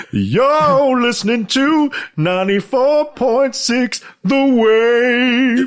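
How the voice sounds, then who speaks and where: Someone uses a put-on character voice at a fairly high pitch and a very slow pace. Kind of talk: radio announcer. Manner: smooth.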